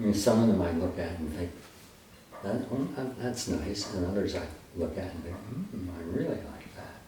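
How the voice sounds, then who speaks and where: Noticeable background noise and audible room echo surround a man with a fairly low pitch. He speaks at a moderate pace with ordinary pitch variation. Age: 90s. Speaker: photographer. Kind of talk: interview. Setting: home studio with darkroom. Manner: halting.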